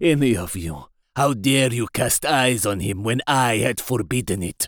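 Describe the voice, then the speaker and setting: Put-on character voice from a man, fairly slow and medium-pitched. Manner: imperious, wrathful, then soft and coaxing.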